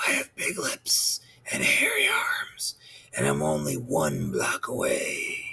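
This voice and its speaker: Fairly slow, raspy delivery in a put-on character voice. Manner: creepy.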